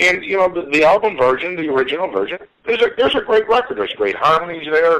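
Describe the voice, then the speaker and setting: A man with a Chicago accent, talking at a very fast pace. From Chicago south side. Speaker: interviewer. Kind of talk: casual interview chat.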